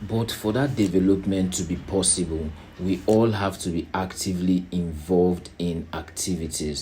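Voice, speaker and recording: A man's very deep, low voice, dark, mellow and somewhat breathy, keeps a fairly even intonation amid audible room echo. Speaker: NGO chairman and founder. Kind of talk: organizational presentation. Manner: slow.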